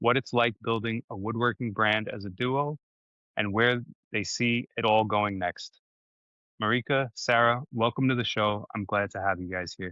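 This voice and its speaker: A man with a slight New York accent keeps his intonation fairly even. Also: medium pitch for a man, moderate pace. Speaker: podcast host. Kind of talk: interview. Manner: scripted intro reading.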